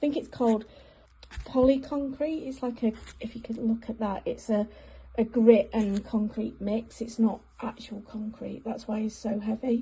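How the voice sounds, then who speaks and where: This voice speaks with an English accent and a dark, mellow tone that is somewhat breathy. The pace is moderate and the intonation fairly even. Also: woman, fairly high pitch for a woman. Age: 40s. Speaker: hobby crafter restoring a gnome. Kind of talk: casual video diary.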